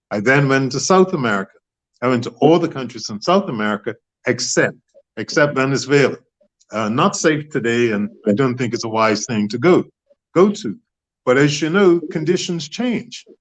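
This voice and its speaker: Speaking in a Bermudian accent, a man uses lively intonation at a medium pitch and moderate pace. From Bermuda. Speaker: author and former politician. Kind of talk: interview.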